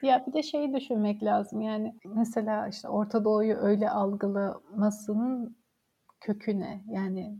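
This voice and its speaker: A woman's somewhat breathy voice proceeds at a fairly slow pace. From Samsun, Turkey. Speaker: history graduate researcher. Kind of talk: casual interview.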